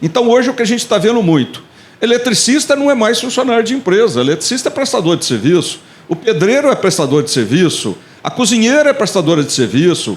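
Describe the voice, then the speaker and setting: The delivery moves at a fairly quick pace, with very wide swings in pitch. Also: man, high pitch for a man. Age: 60s. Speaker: business support agency director. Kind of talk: panel talk.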